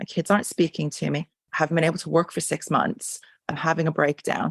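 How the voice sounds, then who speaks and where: A woman with a fairly low voice and vocal fry talks at a fairly quick pace, the sound dry and close with no echo against a quiet background. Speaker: craniosacral therapist. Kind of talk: interview answer. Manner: animated, emphatic.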